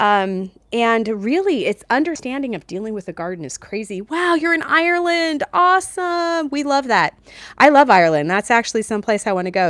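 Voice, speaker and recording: Speaking at a fairly quick pace in an American accent, a woman with a fairly high voice swings very widely in pitch, recorded very cleanly against a silent background. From New Jersey. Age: 50s. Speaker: lifestyle vlogger. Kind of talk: live stream chat. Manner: casual, filler-heavy.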